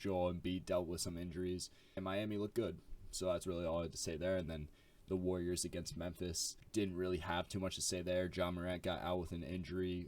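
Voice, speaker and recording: A man speaks at a fairly quick pace in a very deep, low voice with monotone, flat intonation, on a very clean recording with a silent background. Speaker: sports commentary youtuber. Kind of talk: casual video commentary. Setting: at home late at night. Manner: kept quiet, lower energy; casual with many fillers.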